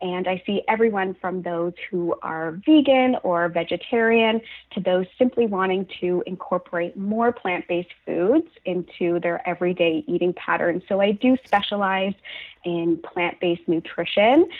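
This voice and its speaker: This woman has a Canadian accent and an unremarkable speaking voice. She talks at a moderate pace and medium pitch, with ordinary pitch variation. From Canada, Halifax, Nova Scotia. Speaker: registered dietitian. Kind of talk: interview.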